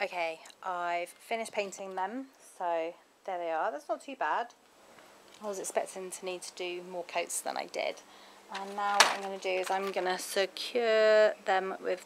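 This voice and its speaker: Loud background noise fills the clip. The voice shows ordinary pitch variation. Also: woman, moderate pace. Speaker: home vlogger. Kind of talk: casual vlog chat. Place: garden. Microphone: phone near.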